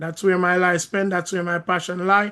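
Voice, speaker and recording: High-pitched for a man, his bright, sharp voice comes with a Jamaican accent over a quiet background. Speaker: credit repair coach and minister. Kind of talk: video call Q&A, teaching. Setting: video call.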